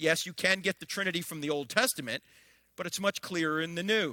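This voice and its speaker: In a very clean recording with a silent background and a dry, close sound free of echo, a man speaks fairly quickly in a raised, projected voice with a bright, sharp, animated tone. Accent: American. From New Jersey. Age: 60s. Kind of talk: public lecture.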